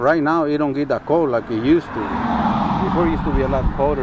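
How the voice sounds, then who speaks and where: A man talks at a fairly quick pace with a Spanish accent and fairly even intonation. Noticeable background noise runs under his voice. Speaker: farmer. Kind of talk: casual interview. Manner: halting.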